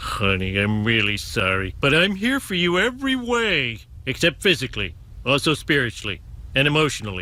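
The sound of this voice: In a cartoonish character voice, a man talks at a moderate pace and a medium pitch.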